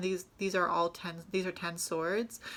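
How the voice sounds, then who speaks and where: A woman's bright, sharp, medium-pitched voice with fairly even intonation, on a very clean recording with a silent background. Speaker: tarot reader. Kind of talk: tarot reading monologue. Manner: halting, many fillers.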